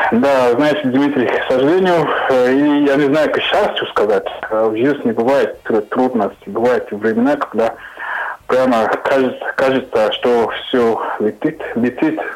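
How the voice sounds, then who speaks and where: Against noticeable background noise, a man speaks at a fairly slow pace with a medium pitch, ordinary pitch variation and very even loudness. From Cameroon. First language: not Russian (speaking Russian). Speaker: radio show guest. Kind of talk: radio interview. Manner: halting.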